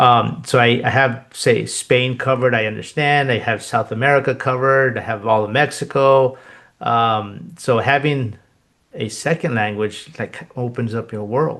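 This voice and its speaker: Over a quiet background, a man with a Spanish accent talks at a medium pitch and moderate pace, with fairly even intonation. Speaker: podcast host. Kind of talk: casual interview chat.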